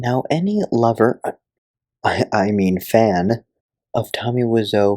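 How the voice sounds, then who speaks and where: Quiet and at a very slow pace, a man talks in a fairly low pitch with a dark, mellow tone. His intonation is fairly even, and the sound is dry and close with no echo. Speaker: comedy film reviewer. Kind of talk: comedic video review narration. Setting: at home, others asleep. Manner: talking quietly.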